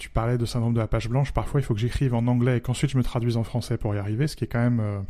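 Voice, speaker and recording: A man's medium-pitched voice with a dark, mellow tone, a monotone, flat delivery, a very fast pace and hardly any pauses. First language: Spanish (speaking French). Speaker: podcast co-host. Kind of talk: casual chat.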